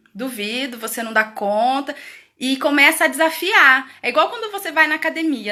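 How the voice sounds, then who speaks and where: A woman projects her voice, raised and high-pitched. Her intonation is lively and her pace moderate. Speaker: educator hosting a parenting live stream. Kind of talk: live stream talk. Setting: live video stream from home. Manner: loud.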